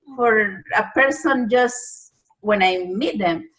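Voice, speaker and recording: Very slowly and with lively intonation, a woman speaks in a strong Spanish accent. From Panama. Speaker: journalist and TV anchor. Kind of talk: interview. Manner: lilting.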